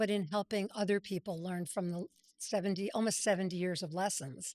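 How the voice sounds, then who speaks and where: A woman talks in an ordinary speaking voice at medium pitch and a fairly quick pace, her intonation fairly even. The recording is very clean, dry and close, with no echo and a silent background. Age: 60s. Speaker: brand strategist and entrepreneur. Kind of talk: interview. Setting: podcast interview.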